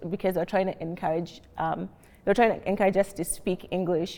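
This woman speaks in a Kenyan accent with a dark, mellow tone and fairly even intonation. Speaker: healthcare analyst, panelist. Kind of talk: panel discussion. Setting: library reading room, filmed.

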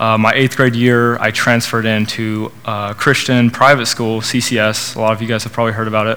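Against noticeable background noise, a man with an American accent and a medium pitch talks at a fairly quick pace in a monotone, flat intonation, with hardly any pauses. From Oklahoma, Norman. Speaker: student speaker at church college group. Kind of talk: testimony and sermon. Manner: hesitant, many fillers.

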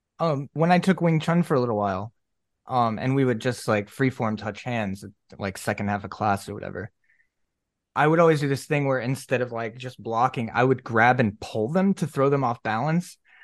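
This man has a normal speaking voice at a medium pitch, with lively intonation. He speaks at a moderate pace against a quiet background. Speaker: podcast host. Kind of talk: casual chat.

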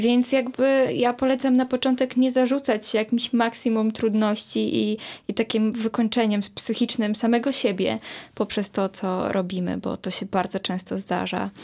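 Speaking in a normal speaking voice, a woman talks at a moderate pace with a fairly high pitch and fairly even intonation. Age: young. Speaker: activist and artist. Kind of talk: casual chat.

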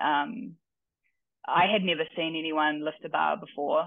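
A woman is talking. Her speech carries a New Zealand accent. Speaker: weightlifting coach and athlete. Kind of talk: casual interview.

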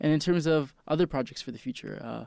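A man talks at a very fast pace. He has a Canadian accent. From Canada, Toronto. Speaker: student radio host. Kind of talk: interview. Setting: studio.

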